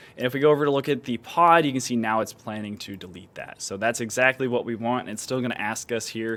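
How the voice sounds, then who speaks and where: This man talks at a fairly quick pace and a medium pitch. His pitch variation is ordinary. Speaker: software engineer giving tech demo. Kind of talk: unscripted screen-share tutorial. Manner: fast; casual, filler-heavy.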